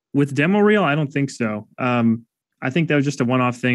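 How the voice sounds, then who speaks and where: A man races along at a very fast pace with a quiet background behind him. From Chicago south suburbs (Calumet City). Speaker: filmmaker and web video creator. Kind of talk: casual interview chat.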